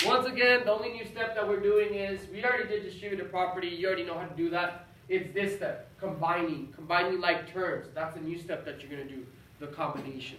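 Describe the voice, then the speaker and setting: Someone talks at a very fast pace against noticeable background noise. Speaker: math teacher. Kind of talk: tutorial. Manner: animated.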